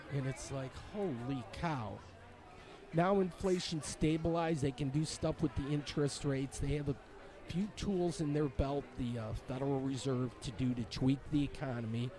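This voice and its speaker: Somewhat breathy and dark, mellow in tone, a man with an American accent talks at a moderate pace and a fairly high pitch, with ordinary pitch variation. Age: 60s. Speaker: vlogger. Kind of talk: casual monologue. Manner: rambling, hesitant with fillers.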